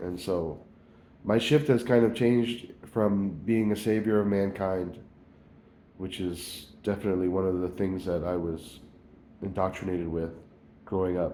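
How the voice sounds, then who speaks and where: Amid audible room echo, a man speaks at a very deep, low pitch with fairly even intonation. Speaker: video blogger. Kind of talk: personal spiritual reflection monologue. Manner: halting.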